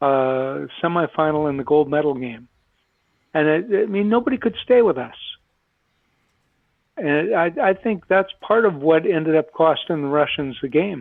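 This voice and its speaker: With an American accent, a man talks at a moderate pace in a fairly high voice, his intonation lively and his speech broken by long, frequent pauses. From Minnesota. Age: 60s. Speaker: retired Olympic hockey player. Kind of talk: podcast interview.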